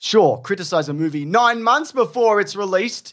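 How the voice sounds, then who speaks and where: A man speaks with an Australian accent at a moderate pace. The recording is very clean, with a silent background. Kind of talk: casual chat; reading aloud.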